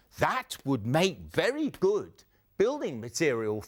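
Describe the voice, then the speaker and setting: A man puts on a character voice, pitched fairly high and paced fairly slowly. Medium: read story.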